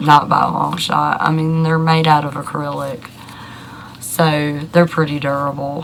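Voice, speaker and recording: The speech moves at a fairly slow pace amid noticeable background noise and audible room echo. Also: woman, very deep, low pitch for a woman. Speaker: YouTuber answering denture questions. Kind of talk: casual Q&A talk to camera. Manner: hesitant, many fillers.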